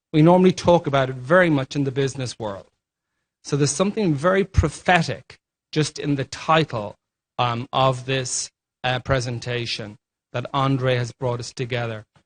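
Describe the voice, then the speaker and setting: A man speaks with an Irish accent, somewhat breathy and with ordinary pitch variation. The sound is dry and close with no echo, and the background is quiet. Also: medium pitch for a man, moderate pace. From Ireland. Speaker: healthcare leadership formation director. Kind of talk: panel presentation.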